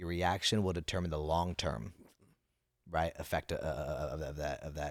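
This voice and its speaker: An American accent with vocal fry, ordinary pitch variation and a moderate pace, on a very clean recording with a silent background. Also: man, very deep, low pitch for a man. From Napa Valley, California. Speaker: finance entrepreneur and public speaker. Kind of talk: casual interview chat. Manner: halting, repeats words.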